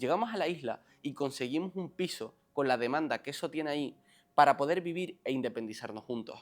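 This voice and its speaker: On a very clean recording with a silent background, a man with a fairly high pitch uses a normal speaking voice, lively intonation, and a fairly quick pace. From Canary Islands, Lanzarote. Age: 20s. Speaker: self-help coach. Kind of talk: motivational monologue.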